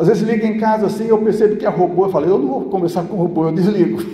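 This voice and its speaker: A man talks in a high voice. Noticeable background noise sits behind him. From São Paulo, Brazil. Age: 60s. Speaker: pastor. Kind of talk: church sermon.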